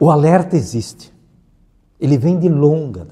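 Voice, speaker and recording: Somewhat breathy and dark, mellow in tone, a man talks at a fairly slow pace. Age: 70s. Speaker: environmental expert. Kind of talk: interview.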